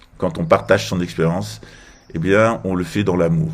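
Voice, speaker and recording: Audible room echo surrounds a man whose very deep, low pitch moves in very wide swings. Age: 50s. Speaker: political commentator. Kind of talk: political monologue.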